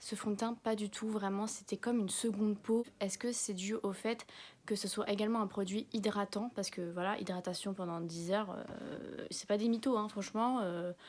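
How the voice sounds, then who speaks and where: Soft-spoken, a woman talks with fairly even intonation. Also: medium pitch for a woman, moderate pace. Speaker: beauty vlogger. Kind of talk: product review vlog. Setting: at home. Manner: casual, filler-heavy.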